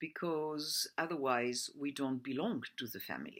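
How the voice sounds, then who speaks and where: Someone with a French accent speaks at a fairly slow pace on a very clean recording with a silent background. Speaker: personal development coach. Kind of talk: presentation. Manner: halting.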